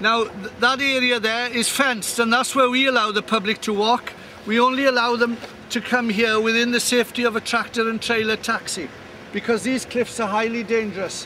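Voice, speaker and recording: A man's raised, projected voice at an extremely high pitch, flat and monotone at a fairly quick pace, over noticeable background noise. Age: 60s. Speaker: farmer. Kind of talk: walking video commentary. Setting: outdoors. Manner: halting with repetitions.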